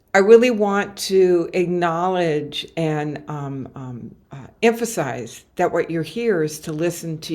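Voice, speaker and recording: In a normal speaking voice, the speaker goes at a fairly slow pace with hardly any pauses. The intonation is lively, and the loudness swings widely. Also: woman. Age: 60s. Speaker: motivational speaker and coach. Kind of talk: webinar presentation. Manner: frequent fillers.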